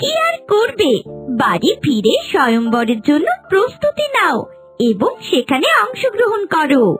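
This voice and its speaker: A cartoonish character voice speaks high and fairly slowly, its pitch swinging very widely. Faint music plays in the background. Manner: warm, encouraging.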